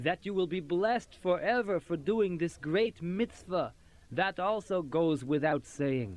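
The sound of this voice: The speaker reads in an unforced reading voice.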